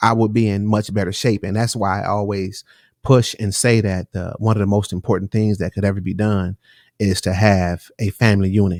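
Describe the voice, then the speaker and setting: In a very clean recording with a silent background and a dry, close sound with no echo, a man speaks at a moderate pace and a fairly low pitch with monotone, flat intonation. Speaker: podcast host. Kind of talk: casual podcast conversation. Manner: casual, repetitive.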